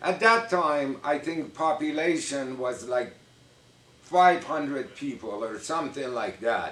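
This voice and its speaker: With a Persian accent and lively intonation, a man speaks at a very slow pace amid noticeable background noise. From Iran. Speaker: vlogger. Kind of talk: casual storytelling to camera.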